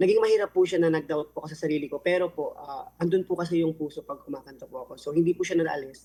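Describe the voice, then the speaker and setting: A man with a high pitch, talking at a very fast pace with ordinary pitch variation and hardly any pauses. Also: big swings in loudness. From Philippines, Dagupan City, Pangasinan. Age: 20s. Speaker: singer. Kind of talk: interview. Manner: polite, frequent filler particles.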